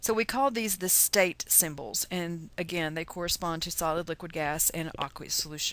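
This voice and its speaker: With a Texas accent, a woman talks at a moderate pace with hardly any pauses. Her pitch is fairly low, with ordinary variation. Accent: Texas twang. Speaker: chemistry teacher. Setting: lecture. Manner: casual, joking.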